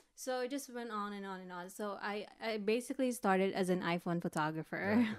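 A woman's ordinary speaking voice with an American accent, medium pitch, ordinary pitch variation, a fairly quick pace and big swings in loudness. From Philippines, then East Bay California from age 10. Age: 40s. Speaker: photographer, podcast co-host. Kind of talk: casual chat.

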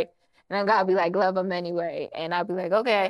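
In an American accent, a woman with an unremarkable speaking voice talks at a medium pitch with fairly even intonation. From Maryland, Prince George's County. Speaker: film and TV producer. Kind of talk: casual interview.

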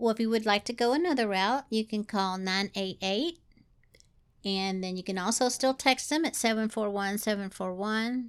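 A woman with a Southern US accent at a fairly slow pace, ordinary pitch variation, on a very clean recording with a silent background. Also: fairly high pitch for a woman. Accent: Southern US twang. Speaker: podcast co-host. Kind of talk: casual chat.

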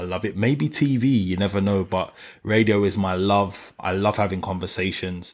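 A man with a London accent speaks at a moderate pace in a fairly low voice, his intonation fairly even, on a very clean recording with a silent background. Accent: London, multicultural London English. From south London (New Cross). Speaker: radio broadcaster. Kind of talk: casual interview chat.

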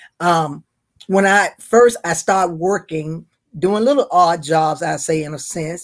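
With a Southern US accent, a woman speaks at a fairly slow pace in a fairly low pitch with ordinary pitch variation. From North Carolina. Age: 70s. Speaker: retired school worker. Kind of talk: casual interview.

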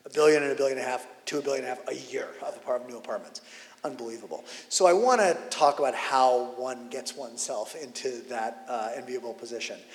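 A man talks at a fairly quick pace with big swings in loudness, and there is noticeable background noise. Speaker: interviewer and conference host. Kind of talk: onstage interview conversation. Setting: conference stage with audience.

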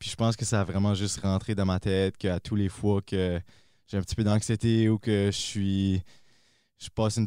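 On a very clean recording with a silent background, a man with a fairly low pitch and a dark, mellow tone speaks fairly quickly in a monotone, flat intonation. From northern New Brunswick, Acadia. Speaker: mountain biker. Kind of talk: casual interview.

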